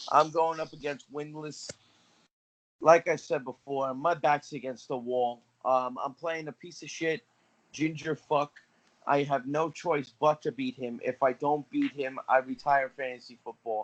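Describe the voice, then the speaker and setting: Recorded with a dry, close sound and no echo, a man speaks at a fairly high pitch and a fairly slow pace with fairly even intonation. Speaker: fantasy football podcast co-host. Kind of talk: casual chat. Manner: loud.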